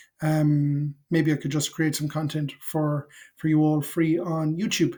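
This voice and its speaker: A man's fairly high-pitched, somewhat breathy voice has a dark, mellow tone and monotone, flat intonation, delivered at a fairly slow pace in a very clean recording with a silent background. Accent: Irish. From Ireland, Cork. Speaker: FinOps consultant and educator. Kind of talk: casual talk to camera. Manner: halting, many fillers.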